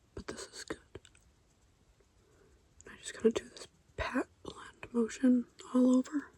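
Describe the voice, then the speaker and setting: A man whispers at a moderate pace. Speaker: beauty content creator. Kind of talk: ASMR makeup tutorial talk to camera. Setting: phone recording, no microphone. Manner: low-energy, calm.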